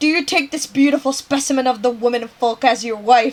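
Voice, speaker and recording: Putting on a character voice, a woman talks at a fairly quick pace with a high pitch and fairly even intonation. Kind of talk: folksy, archaic.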